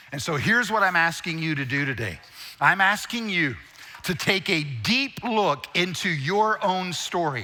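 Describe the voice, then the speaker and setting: A man talks at a fairly slow pace in a high voice, his intonation lively. Noticeable background noise runs underneath. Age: 60s. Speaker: guest preacher and speaker. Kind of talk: sermon.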